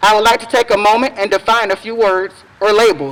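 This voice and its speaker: Noticeable background noise behind a woman speaking at a moderate pace, her pitch fairly high. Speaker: parent and education activist. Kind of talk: prepared speech. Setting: outdoor public event in the rain, microphone. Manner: loud.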